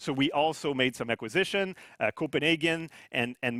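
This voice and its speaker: In a very clean recording with a silent background, a man with a French-Canadian accent speaks at a fairly high pitch, his tone bright and sharp and his intonation lively. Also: dry, close sound with no echo. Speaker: company CEO. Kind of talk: corporate presentation.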